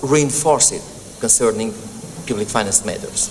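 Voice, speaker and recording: Noticeable background noise sits behind the voice. A man with a fairly high pitch talks at a moderate pace. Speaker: legal academic speaking at a senate hearing. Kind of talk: formal presentation. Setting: senate hearing room. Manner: hesitant, many ums and self-corrections.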